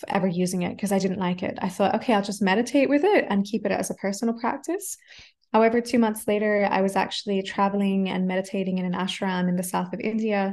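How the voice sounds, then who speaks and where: A woman with an Australian accent, medium in pitch, at a very fast pace with fairly even intonation, over a quiet background. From Australia, Adelaide. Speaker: mantra musician and voice coach. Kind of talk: casual chat.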